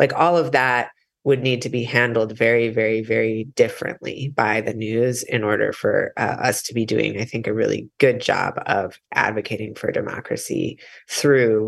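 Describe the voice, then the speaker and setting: A man with vocal fry, an American accent, medium pitch, moderate pace and fairly even intonation. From US Midwest. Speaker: independent journalist. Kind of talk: interview.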